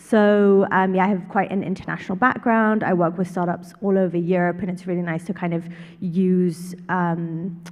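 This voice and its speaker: A woman speaks with a London accent. Her intonation is flat and monotone. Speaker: startup consultant. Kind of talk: panel introduction.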